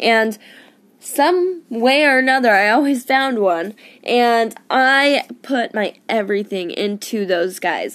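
In a very clean recording with a silent background, a woman with an American accent speaks very slowly, her intonation lively. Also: fairly high pitch for a woman. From Arizona, US. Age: 20s. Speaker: podcaster in addiction recovery. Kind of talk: personal testimony monologue. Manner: casual, many filler ums.

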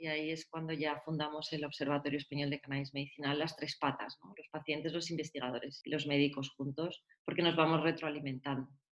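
A woman talks at a fairly quick pace with hardly any pauses, in a very deep, low pitch and monotone, flat intonation. Her loudness swings a lot. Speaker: patient advocate, cannabis foundation founder. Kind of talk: interview.

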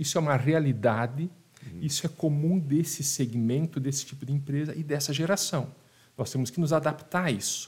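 A man speaks at a moderate pace in a somewhat breathy voice. His pitch is fairly high, with ordinary variation. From Rio Grande do Sul, Brazil (Passo Fundo area). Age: 40s. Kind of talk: casual interview chat. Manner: halting, repeats words.

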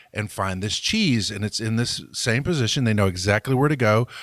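A man with a plain, everyday voice speaks at medium pitch with ordinary pitch variation. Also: very clean recording, silent background. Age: 40s. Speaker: business podcast co-host. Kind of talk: casual chat.

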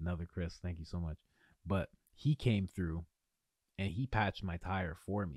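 The delivery is animated and somewhat breathy at a moderate pace, with ordinary pitch variation. Long, frequent pauses break it up in a very clean recording with a silent background. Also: man, very deep, low pitch for a man. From Ontario, Canada. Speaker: podcast host, men's coach. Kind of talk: casual monologue. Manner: animated, casual.

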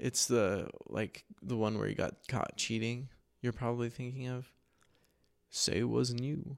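In an ordinary speaking voice, the speaker goes at a fairly slow pace with fairly even intonation. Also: man, medium pitch for a man. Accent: American. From central Oregon, US. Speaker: podcast host and artist. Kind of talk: casual chat.

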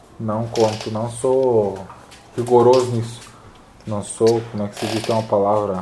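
Noticeable background noise and audible room echo surround a man speaking at a moderate pace and medium pitch. His intonation is flat and monotone, broken by long, frequent pauses. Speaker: fitness youtuber, calisthenics athlete. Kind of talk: casual interview.

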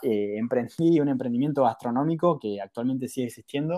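A man speaks with a Rioplatense accent at a fairly quick pace, his medium-pitched voice dark and mellow. His pitch varies in an ordinary way, and the recording is very clean with a silent background. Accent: Argentine Rioplatense Spanish. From Argentina, Mar del Plata. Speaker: startup founder, former lawyer. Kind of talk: interview.

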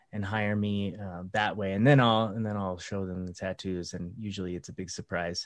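A man with an American accent speaks in an unremarkable speaking voice, fairly low in pitch, at a moderate pace with fairly even intonation and hardly any pauses over a quiet background. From USA. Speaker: podcast host and counselor. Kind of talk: casual interview conversation. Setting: indoors.

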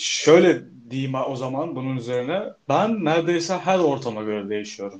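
A man with a plain, everyday voice speaks at a moderate pace and a fairly high pitch. His intonation is lively. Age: 20s. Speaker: podcast co-host, photography student. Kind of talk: casual chat.

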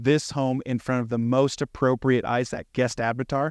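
At a moderate pace, a man speaks in a plain, everyday voice of medium pitch against a quiet background. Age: 30s. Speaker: property manager and real estate investor. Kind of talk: panel discussion.

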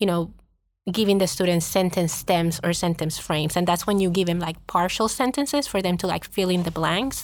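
With a Spanish accent and fairly even intonation, a woman speaks at a fairly low pitch in a very clean recording with a silent background. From Puerto Rico. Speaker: school district administrator. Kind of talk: interview.

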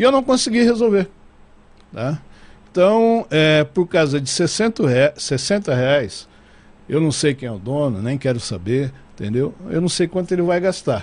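This man's pitch is fairly high and swings very widely. He talks at a fairly slow pace with long, frequent pauses. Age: 60s. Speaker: TV and radio station director. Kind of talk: casual interview chat. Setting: studio.

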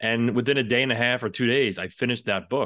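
Against a quiet background, a man talks in a New York accent. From New York City. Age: 40s. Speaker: firefighter and real estate investor. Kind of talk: interview.

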